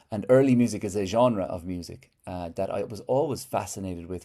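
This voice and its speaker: A man talks at a fairly quick pace in a fairly low, dark, mellow voice with ordinary pitch variation. The recording is very clean, with a silent background. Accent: Irish. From Ireland. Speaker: poet and musician. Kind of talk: interview answer.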